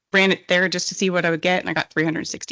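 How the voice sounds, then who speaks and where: A shaky, medium-pitched woman's voice with fairly even intonation, dry and close with no echo, over a quiet background. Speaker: petroleum engineer presenter. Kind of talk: technical presentation. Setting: conference stage with audience. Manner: shaky voice.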